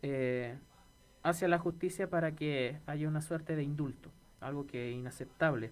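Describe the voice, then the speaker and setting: This woman's voice has a very deep, low pitch. She talks at a moderate pace with ordinary pitch variation. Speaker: radio co-host, teacher. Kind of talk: casual chat.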